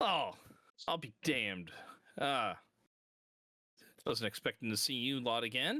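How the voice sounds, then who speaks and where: A man puts on a character voice at a medium pitch. He goes at a moderate pace with long, frequent pauses. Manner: surprised, offhand.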